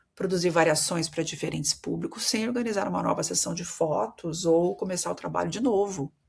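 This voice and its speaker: A woman with a Brazilian accent talks at a moderate pace with a very deep, low pitch, vocal fry, and lively intonation. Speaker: marketing consultant and podcast host. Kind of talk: solo podcast monologue. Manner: conversational, addresses listeners directly.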